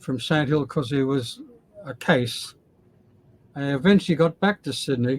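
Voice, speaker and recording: A man with an Australian accent. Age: 80s+. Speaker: former Scientologist. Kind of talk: interview answer.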